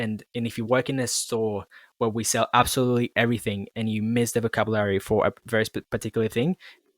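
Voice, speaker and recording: Over a silent background in a very clean recording, a man speaks at a medium pitch in a flat monotone, with a dry, close sound and no echo. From Colombia. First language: Spanish. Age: 20s. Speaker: podcast host. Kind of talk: casual chat. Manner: halting, repeats words.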